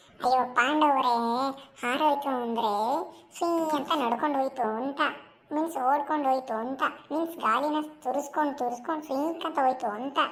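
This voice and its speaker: A woman performs a cartoonish character voice at a high pitch, speaking at a fairly slow pace with fairly even intonation. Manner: rambling, tells tall stories.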